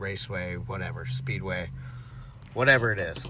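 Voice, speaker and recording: The man's tone is bright and sharp. Room echo can be heard. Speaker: car enthusiast vlogger. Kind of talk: casual vlog narration. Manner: halting, stuttering a little.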